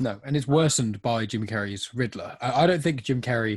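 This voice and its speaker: A somewhat breathy man at medium pitch, talking at a fairly quick pace with lively intonation, over a quiet background. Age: 20s. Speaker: podcast co-host. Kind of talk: casual chat.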